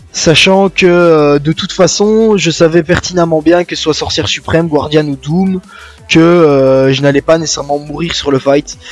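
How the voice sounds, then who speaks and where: A man talks at a fairly slow pace with fairly even intonation. His pitch is fairly high, and music plays in the background. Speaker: gaming youtuber. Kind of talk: gameplay commentary. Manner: slight stutter today.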